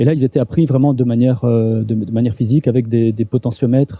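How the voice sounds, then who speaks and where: Somewhat breathy, a man speaks at a fairly quick pace with a medium pitch and fairly even intonation. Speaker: university lecturer. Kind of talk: lecture. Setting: seminar room with audience. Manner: halting, many repetitions and fillers.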